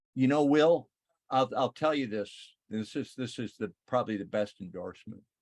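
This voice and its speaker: A man's plain, everyday voice at a medium pitch, moderate pace, and ordinary pitch variation. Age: 60s. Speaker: retired TV station worker, crypto channel host. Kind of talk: casual interview chat.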